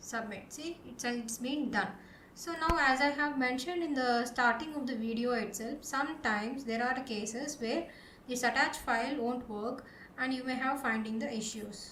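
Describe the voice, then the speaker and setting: A woman with a high pitch and ordinary pitch variation is heard over noticeable background noise and audible room echo. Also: moderate pace. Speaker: programming tutorial presenter. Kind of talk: tutorial.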